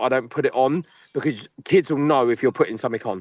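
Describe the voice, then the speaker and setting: Against a quiet background, the speech comes at a very fast pace in a dry, close sound with no echo. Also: man. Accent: English. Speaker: football coach. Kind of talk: panel discussion. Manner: loud.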